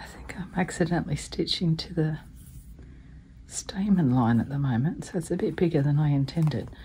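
A woman in an Australian accent speaks at a moderate pace with a very deep, low pitch, a somewhat breathy, dark, mellow tone and lively intonation. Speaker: embroidery hobbyist. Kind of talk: casual craft video narration.

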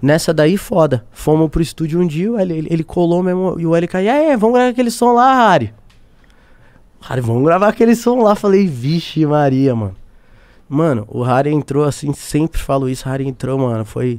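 Fairly high in pitch, a man talks at a moderate pace with very wide pitch swings. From Brazil. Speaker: singer-songwriter; podcast guest. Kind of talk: casual interview chat. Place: studio. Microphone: studio mic.

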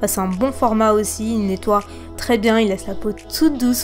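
A woman talks at a fairly quick pace while clear music plays behind her. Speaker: beauty vlogger. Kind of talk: tutorial narration. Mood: relaxed, warm.

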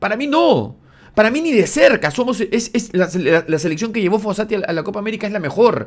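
Against a quiet background, a man speaks at a high pitch and a fairly quick pace with an animated tone and lively intonation. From Peru. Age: 40s. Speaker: football commentator YouTuber. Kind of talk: opinion rant video. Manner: halting, repeating words. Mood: indignant, critical. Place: home room. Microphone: studio mic.

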